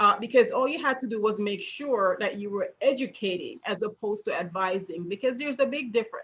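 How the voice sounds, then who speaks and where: A woman talks at a moderate pace with a slight Jamaican accent. Her pitch is fairly high. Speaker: retirement account educator. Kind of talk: interview.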